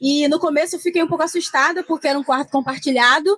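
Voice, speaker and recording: The sound is close and dry, free of any echo. A woman speaks fairly quickly. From Rio de Janeiro state, Brazil. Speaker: social media influencer. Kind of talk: panel discussion. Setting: trade fair stand with live audience.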